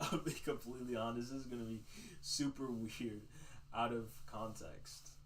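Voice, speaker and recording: A man talks at a moderate pace, and room echo is audible around his voice. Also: medium pitch for a man, ordinary pitch variation. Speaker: livestream host. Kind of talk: casual livestream monologue. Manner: loud.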